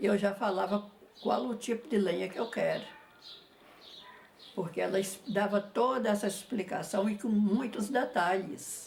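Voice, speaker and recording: Background noise is noticeable here. Through it, a woman talks at a medium pitch. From Jequitinhonha Valley, Minas Gerais, Brazil. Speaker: visual artist. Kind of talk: interview answer. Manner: shy, modest.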